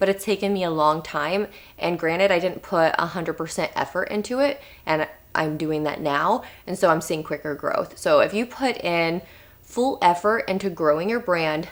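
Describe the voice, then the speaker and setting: Speaking at a moderate pace, a woman uses lively intonation in a fairly low pitch. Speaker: content creator and freelancer. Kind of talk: casual vlog tutorial.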